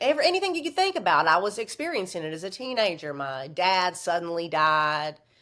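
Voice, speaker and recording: A woman with a Southern US accent and a medium pitch speaks in an animated tone with very wide pitch swings, captured in a very clean recording with a silent background. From US South, Virginia. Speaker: author and former stripper. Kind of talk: podcast interview, personal storytelling.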